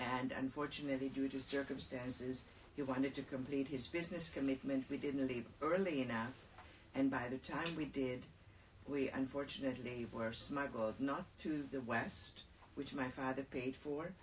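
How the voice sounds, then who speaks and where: A woman speaks in a very deep, low voice at a moderate pace, her intonation fairly even. Noticeable background noise runs underneath. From Hungary. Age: 70s. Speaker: holocaust survivor. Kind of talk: interview testimony.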